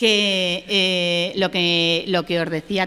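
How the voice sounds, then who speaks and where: A woman speaks with a fairly low pitch. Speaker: cultural program staff presenter. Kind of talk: public presentation. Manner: fast.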